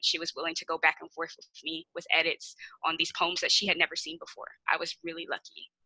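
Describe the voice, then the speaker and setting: A woman with a Kansas City accent talks fairly quickly, with a dry, close sound and no echo. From Kansas City, Missouri (inner city). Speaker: poet. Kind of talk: interview Q&A.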